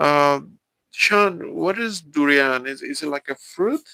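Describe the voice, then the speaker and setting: Very slowly, a man speaks with a Mexican accent. The sound is dry and close, with no echo. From Mexico. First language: Spanish. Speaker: live streamer. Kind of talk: live stream chat with viewers. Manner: halting, many fillers and repeats.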